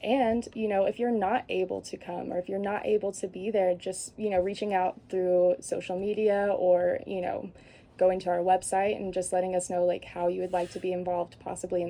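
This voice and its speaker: A woman at a moderate pace, with a dark, mellow tone, fairly even intonation and medium pitch. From Arkansas. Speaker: wellness fair organizer. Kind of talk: radio interview.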